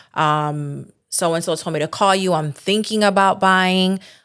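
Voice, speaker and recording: A woman with a New Jersey accent talks at a fairly slow pace. The recording is very clean, with a silent background. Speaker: title agency owner. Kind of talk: podcast interview.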